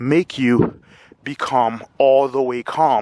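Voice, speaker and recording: A man speaks at medium pitch. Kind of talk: casual talk to camera. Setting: outdoors. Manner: stutters.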